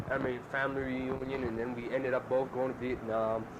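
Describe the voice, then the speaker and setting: Noticeable background noise behind a man's voice with fairly even intonation. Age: young. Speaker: soldier. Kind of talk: casual chat.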